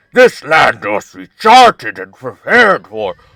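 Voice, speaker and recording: Speaking in a put-on character voice, a man swings his pitch very widely at a fairly slow pace, the sound dry and close with no echo. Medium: game stream. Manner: formal, clipped, commanding.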